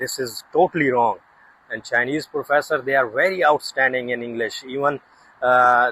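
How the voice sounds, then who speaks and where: A man speaks at a moderate pace, medium pitch and fairly even intonation. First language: not English. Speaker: researcher and YouTuber. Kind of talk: casual vlog monologue. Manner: halting, many fillers.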